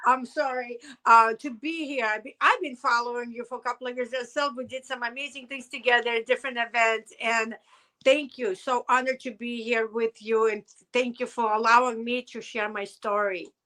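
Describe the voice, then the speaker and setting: In a Russian accent, a woman speaks at a moderate pace with a high pitch, a bright, sharp tone, fairly even intonation and big swings in loudness. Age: 50s. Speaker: hairdresser and business owner, chronic pain survivor. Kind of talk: interview testimony. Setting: podcast interview. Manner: emotional, halting.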